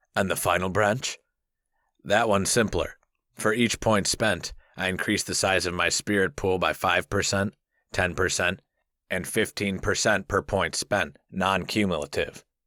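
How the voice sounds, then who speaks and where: A man's raspy, put-on character voice, fairly low in pitch, at a moderate pace on a very clean recording with a silent background. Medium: read story. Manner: confident, playful.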